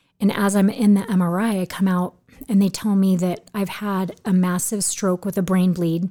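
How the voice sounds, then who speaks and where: Speaking at a moderate pace with an American accent, a woman has a medium pitch, a dark, mellow tone and monotone, flat intonation. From Southern California. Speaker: stroke survivor. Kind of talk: interview. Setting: studio. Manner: halting.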